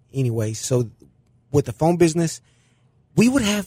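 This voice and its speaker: A man's somewhat breathy, fairly high voice with very wide pitch swings at a moderate pace, dry and close with no echo. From Mexico. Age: 40s. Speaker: small business owner. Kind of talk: interview.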